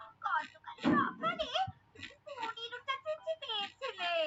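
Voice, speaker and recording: In a cartoonish character voice, a woman speaks at an extremely high pitch. Her pace is fairly slow. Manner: animated, exclamatory.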